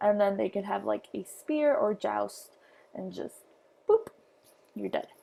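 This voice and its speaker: At a fairly slow pace, a woman is speaking. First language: not English. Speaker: history teacher. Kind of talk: lecture. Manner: halting, many fillers.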